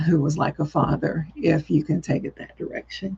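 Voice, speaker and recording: Speaking in a Southern US accent at a moderate pace, a woman with a fairly low pitch sounds somewhat breathy, with ordinary pitch variation. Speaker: psychic medium. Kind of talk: live-stream psychic reading. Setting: live video stream.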